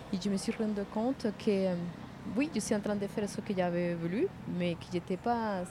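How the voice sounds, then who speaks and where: At a moderate pace and medium pitch, a woman speaks in an ordinary speaking voice with fairly even intonation. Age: 50s. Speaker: passerby, cycling traveller. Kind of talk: casual chat. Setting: outdoors.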